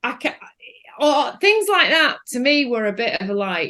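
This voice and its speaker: At a fairly slow pace, a woman with a northern English accent and a bright, sharp tone sweeps through very wide pitch swings. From northern England. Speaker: film director. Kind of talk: casual chat.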